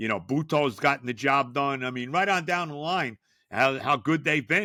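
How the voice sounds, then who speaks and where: At a moderate pace, a bright, sharp voice comes through in a very clean recording with a silent background and a dry, close sound with no echo. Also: man. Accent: New York. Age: 70s. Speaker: sports podcast host. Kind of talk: solo sports talk monologue. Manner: casual, conversational with many fillers.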